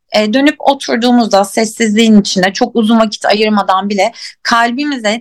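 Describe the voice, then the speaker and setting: Moderate pace and fairly high pitch from a woman. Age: 30s. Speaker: life coach. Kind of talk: casual chat. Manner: halting.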